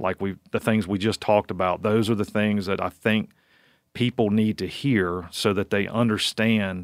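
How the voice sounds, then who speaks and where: A man talks in an ordinary speaking voice with fairly even intonation. The sound is dry and close with no echo, on a very clean recording with a silent background. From Virginia, US. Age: 40s. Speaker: wildlife researcher. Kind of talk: casual interview chat.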